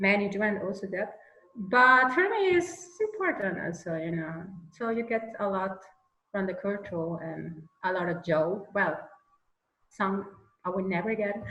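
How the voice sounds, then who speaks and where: Fairly slow delivery with ordinary pitch variation, long and frequent pauses, a slight Austrian accent, and audible room echo. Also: woman, medium pitch for a woman. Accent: Austrian German tinge in her English. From Venezuela. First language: Spanish. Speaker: mural artist. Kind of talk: interview conversation. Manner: halting, searching for words.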